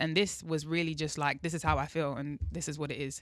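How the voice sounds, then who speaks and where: This woman has a very deep, low voice and a London accent, talking at a very fast pace. Her intonation stays flat and monotone, with a bright, sharp tone. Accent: British (London). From England. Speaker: R&B singer. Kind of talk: interview answer.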